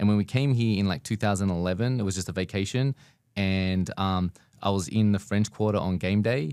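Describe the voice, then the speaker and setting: Fairly low-pitched and with an Australian accent, a man speaks at a fairly quick pace with ordinary pitch variation. The recording is very clean, with a silent background. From Australia, Sydney. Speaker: business owner. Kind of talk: podcast interview.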